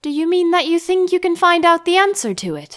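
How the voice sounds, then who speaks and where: A woman's put-on character voice, squeaky and extremely high, at a fairly quick pace with fairly even intonation. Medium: read story. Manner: contrary, meek.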